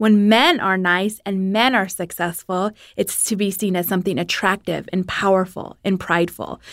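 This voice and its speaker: A woman speaks at a moderate pace in a plain, everyday voice, with fairly even intonation and hardly any pauses. The recording is very clean, with a silent background. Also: medium pitch for a woman. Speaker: radio host. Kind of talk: casual panel discussion.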